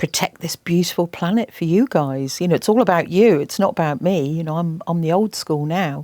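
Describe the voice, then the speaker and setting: Speaking in an English accent, a woman with a fairly low pitch and a dark, mellow tone leaves hardly any pauses. The recording is very clean, with a silent background and a dry, close sound with no echo. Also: ordinary pitch variation, fairly quick pace. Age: 60s. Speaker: environmental campaigner and TV presenter. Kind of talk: interview. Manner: animated.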